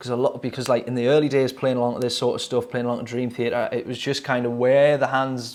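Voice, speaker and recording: In a Geordie accent, a man speaks very fast at a medium pitch. His intonation is monotone and flat. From northern England, Newcastle. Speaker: drummer reacting to music videos. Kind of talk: casual video commentary. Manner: hesitant, many fillers.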